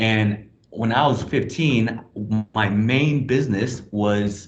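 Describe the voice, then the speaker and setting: Somewhat breathy and medium in pitch, a man talks with ordinary pitch variation amid audible room echo. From Hong Kong. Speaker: blockchain project presenter. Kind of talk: online presentation. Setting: video call from a small office closet.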